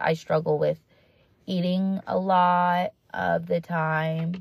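Somewhat breathy, a woman speaks at a fairly low pitch on a very clean recording with a silent background. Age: 20s. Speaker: podcast host. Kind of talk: solo monologue, self-help talk. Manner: casual with many fillers.

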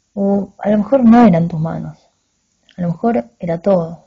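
A woman with a fairly low pitch speaks in an intense, somewhat breathy tone. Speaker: narrator reading a short story aloud. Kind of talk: dramatic narration of a literary story, confessional first-person reading aloud. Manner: intense, halting and confessional, with pauses and stumbles, a tone of shame and regret.

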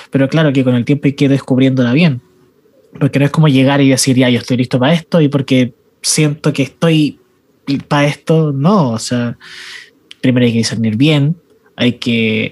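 A fairly high male voice at a moderate pace, with ordinary pitch variation and very even loudness. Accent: Chilean. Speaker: youth ministry podcast host. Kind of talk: casual chat.

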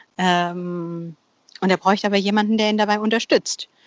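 A woman talks, her pitch sitting in the medium range. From Bavaria, Germany. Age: 40s. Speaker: freelance copywriter. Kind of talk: casual interview. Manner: halting, many fillers and repetitions.

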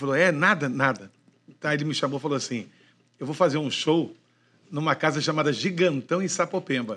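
A man's fairly high, bright, sharp voice with a Rio de Janeiro accent, a fairly quick pace, long and frequent pauses, ordinary pitch variation and a quiet background. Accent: carioca. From Niterói, Rio de Janeiro. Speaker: veteran radio broadcaster. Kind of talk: casual chat. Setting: studio.

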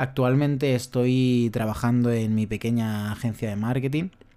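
Speaking fairly slowly at a medium pitch, a man has a dark, mellow tone and fairly even intonation. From Spain, Madrid region. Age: 20s. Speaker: podcaster and digital marketing creator. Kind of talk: casual solo monologue. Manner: halting, frequent repetitions and fillers.

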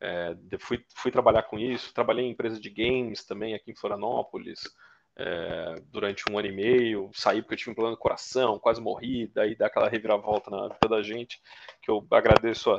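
Loudness swings widely in this man's voice. The sound is dry and close, with no echo. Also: fairly quick pace. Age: 30s. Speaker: bitcoin miner. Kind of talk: casual interview.

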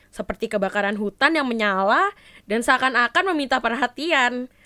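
Against a very clean, silent background, a woman with a high pitch and a bright, sharp tone speaks in an animated way at a fairly quick pace, her pitch swinging very widely in a dry, close sound with no echo. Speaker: podcast host. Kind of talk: casual chat.

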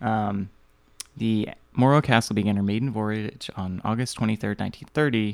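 A man talks at a fairly slow pace in an unremarkable speaking voice. His intonation stays fairly even. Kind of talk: casual chat. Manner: joking.

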